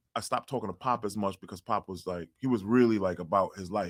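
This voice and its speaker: A man with a New York accent sounds animated. The recording is dry and close, with no echo. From New York City (Far Rockaway, Queens). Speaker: basketball coach and DJ. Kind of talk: casual interview chat.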